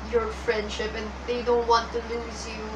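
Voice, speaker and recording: Noticeable background noise under a woman's voice, moderate in pace. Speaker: vlogger. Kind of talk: casual vlog chat. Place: home room. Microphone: webcam.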